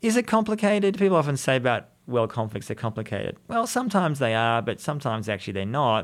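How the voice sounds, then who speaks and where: A man with an Australian accent at a very fast pace, hardly any pauses, very wide pitch swings, and a very clean recording with a silent background. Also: medium pitch for a man. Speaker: journalist and author. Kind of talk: interview.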